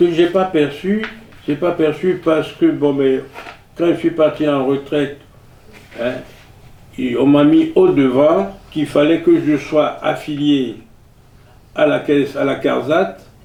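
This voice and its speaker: A man's fairly high voice at a very slow pace, with long, frequent pauses, ordinary pitch variation and noticeable background noise. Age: 80s+. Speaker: retired military veteran. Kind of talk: interview. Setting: at home. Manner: halting.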